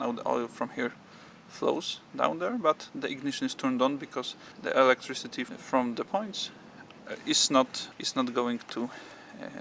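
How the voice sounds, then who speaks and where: A man with a Polish accent at a moderate pace, noticeable background noise behind him. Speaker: motorcycle owner and enthusiast. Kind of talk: tutorial. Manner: halting, many fillers and repetitions.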